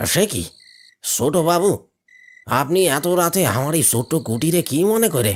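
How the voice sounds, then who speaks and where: A man in a cartoonish character voice, fairly high-pitched for a man. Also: moderate pace, very clean recording, silent background. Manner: humble, deferential toward the young master.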